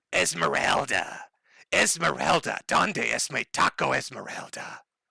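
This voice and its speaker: In a put-on character voice, the speaker sounds raspy and goes at a fairly slow pace. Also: man, very deep, low pitch for a man. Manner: calling out.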